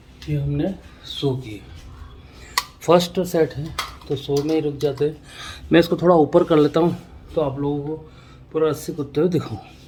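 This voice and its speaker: A man speaks with fairly even intonation and long, frequent pauses. Noticeable background noise is present. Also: fairly high pitch for a man, moderate pace. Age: 50s. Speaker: artist and vlogger. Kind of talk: casual vlog narration.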